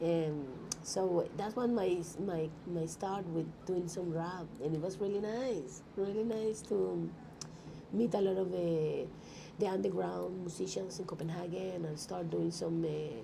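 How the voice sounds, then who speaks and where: A woman with a Colombian accent talks at a fairly slow pace and a fairly low pitch, with ordinary pitch variation. Audible room echo fills the recording. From Colombia, Bogota. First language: Spanish. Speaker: rapper and musician. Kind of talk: interview. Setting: music expo, in person.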